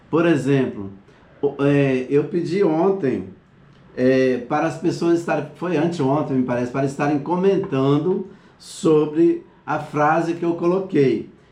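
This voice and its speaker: Audible room echo surrounds a man's fairly high-pitched voice, dark and mellow in tone, delivered at a fairly slow pace with ordinary pitch variation. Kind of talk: online class lecture. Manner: halting.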